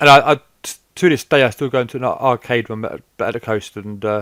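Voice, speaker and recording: A man with a British accent, medium pitch and ordinary pitch variation, fairly quick in pace, in a dry, close sound with no echo. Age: 30s. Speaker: gaming YouTuber. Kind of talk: casual commentary. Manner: halting, repeats words.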